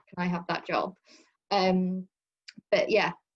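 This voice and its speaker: In a West Country accent, a woman speaks at a medium pitch with monotone, flat intonation, the sound dry and close with no echo. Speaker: talk speaker answering audience questions, has hired staff. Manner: casual, conversational, with filler words.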